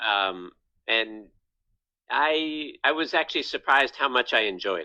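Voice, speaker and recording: A plain, everyday voice belongs to a man with an American accent and a medium pitch. He talks at a fairly slow pace, his intonation lively. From Virginia, US. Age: 50s. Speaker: comedian. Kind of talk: casual interview. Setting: podcast.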